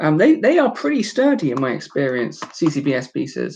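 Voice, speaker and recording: With a British accent, a woman speaks at a very deep, low pitch and a fairly slow pace. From United Kingdom. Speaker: YouTuber building toy sets. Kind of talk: casual live-stream chat. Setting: live stream. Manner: casual, many filler words.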